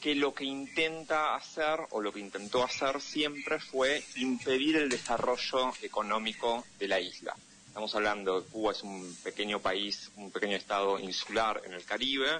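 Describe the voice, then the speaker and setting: Hardly pausing, a man speaks at a medium pitch with ordinary pitch variation. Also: moderate pace. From Argentina, Buenos Aires. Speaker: political analyst and correspondent. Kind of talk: interview.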